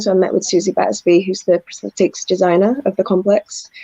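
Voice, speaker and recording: Recorded dry and close with no echo, a woman with a slight northern English accent speaks in a dark, mellow tone. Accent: slight northern English twang. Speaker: actress. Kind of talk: interview. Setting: video call.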